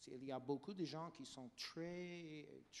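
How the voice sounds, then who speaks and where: A man with an English accent speaks at a very slow pace with ordinary pitch variation. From United States. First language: English (speaking French). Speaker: health policy expert. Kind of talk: panel debate. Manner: halting.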